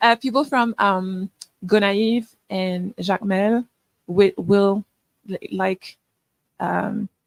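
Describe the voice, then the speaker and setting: Very slow speech with long, frequent pauses and fairly even intonation. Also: woman, medium pitch for a woman, dry, close sound with no echo. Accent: Quebec. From Quebec, Canada. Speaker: filmmaker. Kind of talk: workshop Q&A. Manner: halting.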